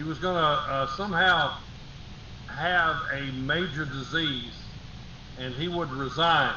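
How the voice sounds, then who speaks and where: Pausing long and often, a man talks at a very slow pace and a fairly high pitch with fairly even intonation, amid noticeable background noise and audible room echo. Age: 60s. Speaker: talk show co-host. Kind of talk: casual political chat.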